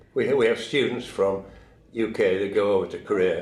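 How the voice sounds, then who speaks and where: In a British accent, a man speaks at a moderate pace. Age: 80s+. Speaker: war veteran. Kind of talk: interview. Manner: halting.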